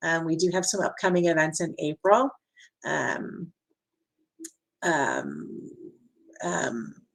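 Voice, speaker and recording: The speaker is a woman. She talks at a fairly low pitch. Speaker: event moderator. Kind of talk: webinar wrap-up. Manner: hesitant, many fillers.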